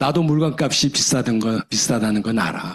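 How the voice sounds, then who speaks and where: A man talks at a moderate pace with lively intonation, in a normal speaking voice. The sound is dry and close, with no echo. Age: 60s. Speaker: retired professor and business leader. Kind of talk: seminar lecture.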